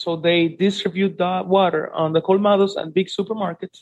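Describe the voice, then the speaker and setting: Moderate pace, in a Spanish accent. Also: man. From Dominican Republic, Santiago. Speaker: relocation and tourism business owner. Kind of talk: interview.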